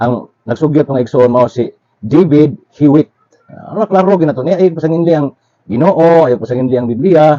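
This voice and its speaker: In a Philippine accent, this dark, mellow voice shows ordinary pitch variation, with a dry, close sound and no echo. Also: man, fairly high pitch for a man, moderate pace. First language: Cebuano (speaking Tagalog). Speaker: religious commentator. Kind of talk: religious lecture.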